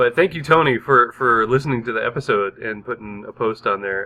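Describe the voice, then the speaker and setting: Using a plain, everyday voice, a man talks at a moderate pace. His pitch sits in the medium range, with ordinary variation. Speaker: podcast co-host. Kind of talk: casual chat. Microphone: new microphone.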